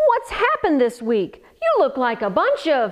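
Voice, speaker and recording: Using a put-on character voice, a woman speaks at a high pitch. Her pace is moderate. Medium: read story. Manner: hearty, pirate-talking.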